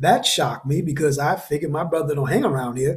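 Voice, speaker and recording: A man's fairly high, somewhat breathy voice with an American accent. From New Haven, Connecticut. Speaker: podcast host, motivational speaker. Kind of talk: personal testimony monologue.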